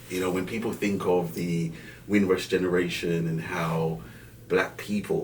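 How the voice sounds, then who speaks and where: Vocal fry runs through a man's very deep, low-pitched voice at a moderate pace, with audible room echo around him. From Jamaica, Kingston, then North London. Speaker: banking director. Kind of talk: podcast interview. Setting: studio.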